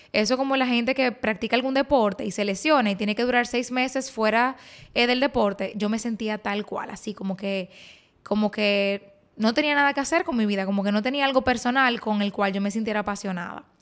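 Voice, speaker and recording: In a very clean recording with a silent background, a woman with a Dominican accent talks at a fairly quick pace in a fairly high voice with ordinary pitch variation. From Dominican Republic. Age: 20s. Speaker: beauty influencer and podcast host. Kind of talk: personal storytelling monologue.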